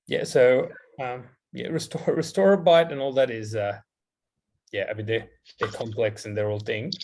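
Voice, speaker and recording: Lively intonation, a somewhat breathy voice, and long, frequent pauses. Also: man, medium pitch for a man. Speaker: dentist, guest lecturer. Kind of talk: lecture Q&A. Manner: fast.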